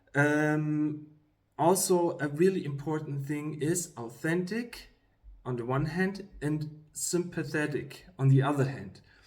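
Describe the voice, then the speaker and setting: A man with a fairly high pitch and ordinary pitch variation speaks at a very slow pace, with audible room echo. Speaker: YouTuber giving career advice. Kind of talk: casual talk to camera. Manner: halting, many fillers.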